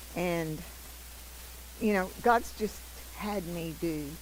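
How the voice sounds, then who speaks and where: A woman speaks at a very slow pace. The room echo is audible. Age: 80s+. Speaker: missionary. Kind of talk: testimony.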